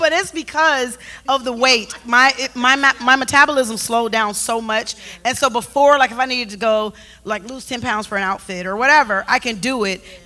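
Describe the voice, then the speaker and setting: Her tone animated and her pitch high, a woman talks at a fairly quick pace with ordinary pitch variation. Noticeable background noise can be heard. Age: 50s. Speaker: talk show co-host. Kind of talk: casual chat.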